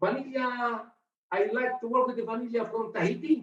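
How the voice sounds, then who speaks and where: A fairly slow pace with a non-native accent. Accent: non-native English, apologises for it. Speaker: bartender. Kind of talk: tutorial. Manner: halting.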